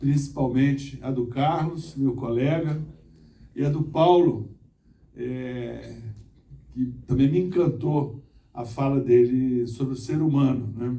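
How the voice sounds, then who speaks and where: With audible room echo, a man talks very slowly with long, frequent pauses, his dark, mellow voice somewhat breathy and his intonation fairly even. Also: medium pitch for a man. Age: 60s. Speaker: former mayor and engineer, conference speaker. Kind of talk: conference talk. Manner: halting, with repetitions.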